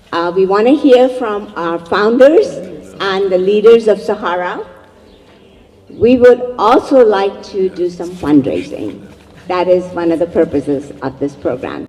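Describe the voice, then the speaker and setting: Noticeable background noise sits behind the voice. The speaker uses a Pakistani accent, lively intonation, and a fairly slow pace. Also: woman, medium pitch for a woman. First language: Urdu. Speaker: event emcee. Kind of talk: event speech. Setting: community event with live audience.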